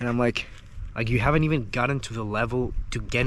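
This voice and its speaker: A man talking at a very fast pace amid audible room echo. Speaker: copywriter and online business coach. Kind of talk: casual talking-head advice video. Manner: casual, many fillers like 'like' and 'uh'.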